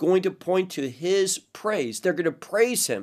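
With lively intonation and a fairly high pitch, a man talks fairly slowly in a normal speaking voice, captured in a very clean recording with a silent background. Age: 50s. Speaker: Bible teacher. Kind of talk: sermon.

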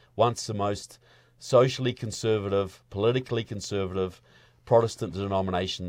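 A man speaks with a New Zealand accent in a fairly low pitch, with ordinary pitch variation. The recording is very clean, with a silent background. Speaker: filmmaker and activist. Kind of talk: interview conversation. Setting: studio.

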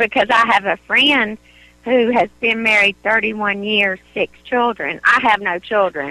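A woman's fairly high voice with a rural Southern US accent, fairly slow, with ordinary pitch variation and a dry, close sound with no echo. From North Carolina. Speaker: caller. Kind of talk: call-in advice conversation.

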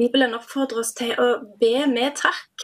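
A woman speaks very slowly in a high-pitched voice. Her intonation stays fairly even. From Dirdal, Rogaland, Norway. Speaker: national coordinator of a prayer organisation. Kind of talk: radio interview.

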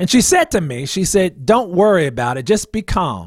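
A man with an American accent and very wide pitch swings, on a very clean recording with a silent background and a dry, close sound with no echo. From New Jersey, New Brunswick. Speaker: minister, liver transplant survivor. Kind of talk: interview testimony. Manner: hesitant, many fillers.

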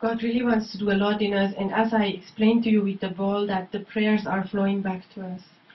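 The delivery is monotone and flat with hardly any pauses, set against noticeable background noise. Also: woman, medium pitch for a woman. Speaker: interpreter. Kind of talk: consecutive interpreting of a sermon into English. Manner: echoing the preacher's fervor, following each German phrase.

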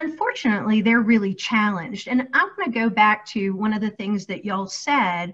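Using an ordinary speaking voice, a woman talks at a fairly quick pace and fairly high pitch, with ordinary pitch variation and hardly any pauses. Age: 40s. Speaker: career coach. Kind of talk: casual chat.

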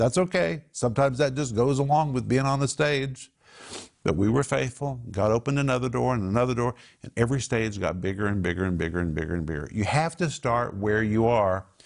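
Animated and fairly quick, a man with an American accent speaks at medium pitch with lively intonation. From Oklahoma (Tulsa). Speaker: Bible teacher and show host. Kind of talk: Bible teaching and group discussion. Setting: studio.

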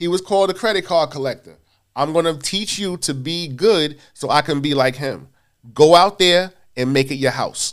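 The man's pitch is fairly high, with ordinary variation. He talks at a moderate pace. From New York City, Queens (South Jamaica). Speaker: timeshare sales manager. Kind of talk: interview. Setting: studio.

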